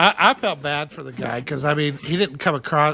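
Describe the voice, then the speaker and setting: Bright and sharp in tone, the voice carries an American accent. The pace is moderate. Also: man. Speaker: podcast host. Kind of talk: casual banter, opinionated.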